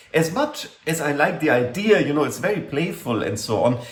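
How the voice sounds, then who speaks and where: A man talks at a moderate pace with very wide pitch swings. Audible room echo surrounds his voice. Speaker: university lecturer. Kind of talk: lecture. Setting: classroom talk. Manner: hesitant, many fillers. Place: home room. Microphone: webcam.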